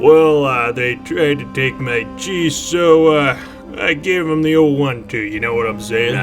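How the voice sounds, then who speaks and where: Over clear background music, a man uses a put-on character voice, fairly high in pitch and fairly slow in pace. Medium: machinima. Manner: casual, whiny, slangy.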